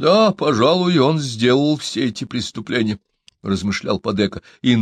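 Lively intonation shapes an unforced reading voice. Quiet surrounds it.

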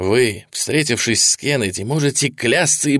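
Simple, plain reading aloud

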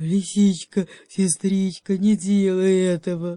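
Putting on a character voice, a man growls at a fairly slow pace in a high pitch with monotone, flat intonation. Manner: timid, pleading.

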